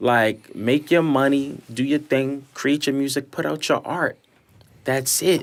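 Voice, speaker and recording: A man with a New York accent speaks at a fairly slow pace, his fairly high voice carrying fairly even intonation. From New York, East New York (Brooklyn). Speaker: recording artist and fashion designer. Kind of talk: casual podcast chat.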